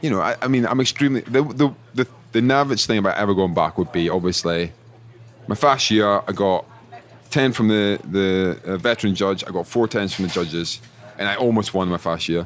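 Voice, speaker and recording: With a Scottish accent, a man talks at a fairly quick pace in a fairly low pitch, with ordinary pitch variation. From Scotland. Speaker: chef. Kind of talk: casual chat. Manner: animated.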